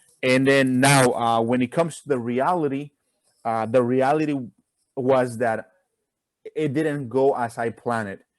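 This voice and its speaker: The speaker talks at a moderate pace with a Spanish accent. Intonation stays fairly even, broken by long, frequent pauses. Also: man, medium pitch for a man. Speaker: college student. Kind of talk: casual chat.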